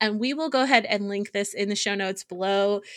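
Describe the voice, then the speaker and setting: Here a woman with an unremarkable speaking voice talks at a medium pitch with ordinary pitch variation. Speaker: podcast co-host. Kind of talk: casual chat.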